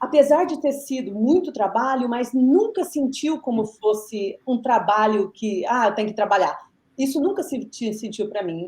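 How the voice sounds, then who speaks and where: Her high pitch and lively intonation stand out as this woman speaks. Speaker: physiotherapist and researcher. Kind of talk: podcast interview. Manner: fast; halting, many fillers.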